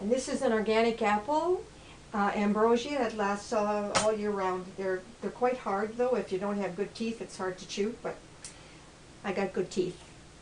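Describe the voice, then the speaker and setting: Intonation stays fairly even at a moderate pace. Behind the voice, background noise is noticeable. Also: woman, medium pitch for a woman. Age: 80s+. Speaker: health vlogger. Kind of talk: cooking demonstration. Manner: casual, halting.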